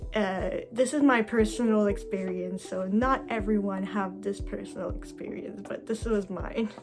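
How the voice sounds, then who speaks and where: Music plays behind a woman with a Quebec accent. She talks at a moderate pace with hardly any pauses. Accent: French Canadian accent in English. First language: French. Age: 20s. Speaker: vlogger sharing ostomy life. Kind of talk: personal video Q&A and tutorial. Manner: halting with many fillers.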